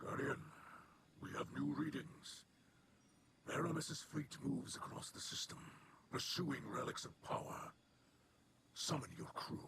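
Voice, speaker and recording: A man's put-on character voice with long, frequent pauses. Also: fairly high pitch for a man, moderate pace. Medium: video game. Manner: solemn.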